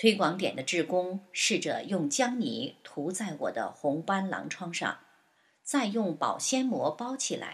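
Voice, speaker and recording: A woman with a medium pitch and a somewhat breathy voice speaks very slowly, her pitch swinging very widely. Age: 60s. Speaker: patient giving testimony. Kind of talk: scripted narration of a patient testimony. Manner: list-like reading of dates and steps.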